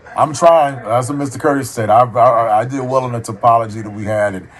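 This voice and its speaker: A man's fairly quick speech, with ordinary pitch movement, comes through noticeable background noise. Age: 50s. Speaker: student, military veteran and former telecom engineer. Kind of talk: casual conversation with a professor. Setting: call. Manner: hesitant, repeats words.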